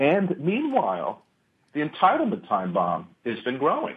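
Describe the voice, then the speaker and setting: A man's voice ranges through very wide pitch swings. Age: 50s. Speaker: technology policy fellow and columnist. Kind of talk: radio interview. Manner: halting, many repetitions.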